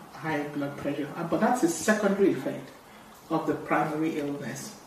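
A woman's fairly low voice with ordinary pitch variation, amid noticeable background noise and audible room echo. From Nigeria (Igbo). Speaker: doctor. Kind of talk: health podcast interview.

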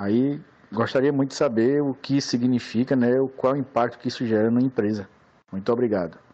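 With fairly even intonation and very even loudness, a man speaks at a fairly quick pace. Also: medium pitch for a man. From Recife, Pernambuco, Brazil. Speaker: listener asking a question. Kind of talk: recorded voice question. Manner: halting, with many fillers.

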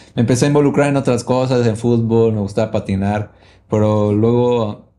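On a very clean recording with a silent background, a man of medium pitch speaks with a dark, mellow tone and fairly even intonation. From Veracruz, Mexico. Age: 30s. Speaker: musician and music producer. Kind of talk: casual chat.

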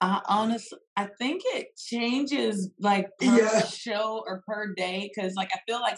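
A woman with a Mississippi accent and ordinary pitch variation. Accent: Southern US (Mississippi). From US South, Poplarville, Mississippi. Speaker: country singer. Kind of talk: casual interview.

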